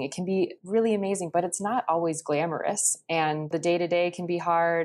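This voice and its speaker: In a very clean recording with a silent background, a woman with an American accent speaks at a moderate pace. Her fairly low voice keeps fairly even intonation. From US Midwest, Chicago suburbs (Illinois). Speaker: diplomat's spouse. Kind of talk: interview.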